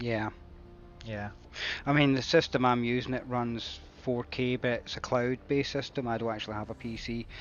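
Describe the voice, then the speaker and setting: A man with a British accent, medium pitch, moderate pace and monotone, flat intonation. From Britain. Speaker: flight sim streamer. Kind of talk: live stream chat. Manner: casual, hesitant with fillers.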